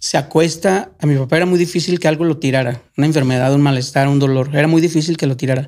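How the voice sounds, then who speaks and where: Speaking very fast with hardly any pauses, a man holds a fairly high pitch, fairly even intonation and very even loudness. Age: 40s. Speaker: former migrant. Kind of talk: casual chat.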